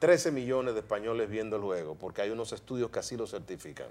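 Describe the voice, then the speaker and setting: Ordinary pitch variation marks this man's medium-pitched voice. He talks at a fairly quick pace. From Dominican Republic, San Pedro de Macorís; Dominican Republic. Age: 50s. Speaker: broadcaster and media commentator; TV interview guest. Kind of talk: interview. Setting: studio. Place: studio. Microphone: lapel.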